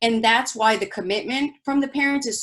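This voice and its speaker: The speaker is a woman. She speaks with a Spanish accent. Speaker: school principal. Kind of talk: bilingual presentation for parents. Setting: online virtual presentation.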